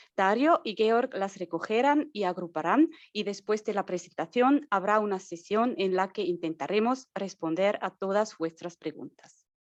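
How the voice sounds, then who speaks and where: A woman with a non-native accent talks at a fairly slow pace, with hardly any pauses and lively intonation. Her pitch is medium, and the sound is dry and close with no echo. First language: not Spanish (speaking Spanish). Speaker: marketing and communications staff, webinar host. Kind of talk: webinar introduction. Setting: Zoom webinar.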